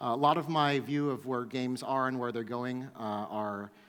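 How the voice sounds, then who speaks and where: In an American accent, this voice keeps a fairly even intonation against audible room echo. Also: man. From US Northeast, New York. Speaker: startup co-founder, conference speaker. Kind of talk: conference talk. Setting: stage with audience. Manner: fast.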